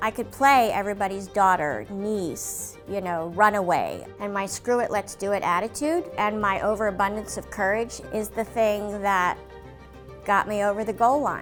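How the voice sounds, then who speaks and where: Over music in the background, a woman speaks at a moderate pace with a General American accent. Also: medium pitch for a woman, ordinary pitch variation. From Washington, D.C., USA. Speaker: voice actor. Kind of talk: interview answer.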